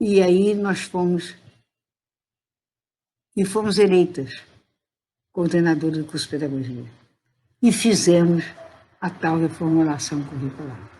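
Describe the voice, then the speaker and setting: A woman with a fairly low pitch and a dark, mellow, somewhat breathy tone speaks at a fairly slow pace with long, frequent pauses. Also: ordinary pitch variation. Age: 80s+. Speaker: retired teacher and education professor. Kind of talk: interview answer. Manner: good-humoured.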